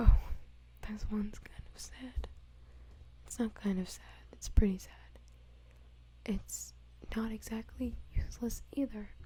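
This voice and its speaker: A soft-spoken voice whispers at a fairly slow pace. Long pauses come often. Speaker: ASMR creator. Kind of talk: ASMR trivia reading. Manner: whispered, soft-spoken.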